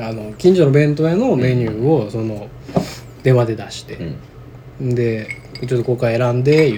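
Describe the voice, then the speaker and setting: Amid noticeable background noise and audible room echo, a man with a Kansai accent speaks at medium pitch with ordinary pitch variation, big swings in loudness and long, frequent pauses. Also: moderate pace. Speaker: podcast co-host. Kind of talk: casual chat.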